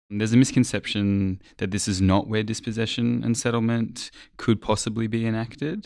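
A man with an Australian accent, medium pitch and fairly even intonation, at a moderate pace with hardly any pauses. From Australia, Sydney and Alice Springs. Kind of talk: academic discussion.

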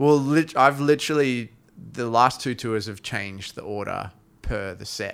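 Talking at a moderate pace, a man with an Australian accent has a medium pitch and ordinary pitch variation. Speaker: touring musician and podcast co-host. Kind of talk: casual chat. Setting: studio. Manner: halting.

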